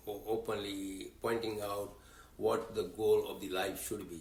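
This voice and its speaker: In a room with audible echo, a man speaks at a fairly slow pace in a fairly low pitch, somewhat breathy and flat in a monotone. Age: 80s+. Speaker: religious community leader. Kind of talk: interview. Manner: halting.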